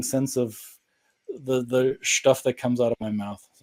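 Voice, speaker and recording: A man at medium pitch speaks with a dark, mellow tone. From Germany (Bavaria). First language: German. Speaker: cultural coach. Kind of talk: casual interview chat.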